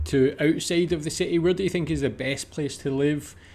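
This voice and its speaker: A man with a Scottish accent talks at a moderate pace, his fairly high pitch showing ordinary variation. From Scotland. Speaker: reaction youtuber. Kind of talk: casual reaction commentary.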